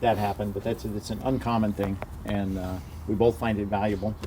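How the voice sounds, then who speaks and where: Over noticeable background noise, a man with an American accent talks at a fairly quick pace in a fairly low pitch with fairly even intonation. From US, Florida. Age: 50s. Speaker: podcast guest. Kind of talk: casual chat.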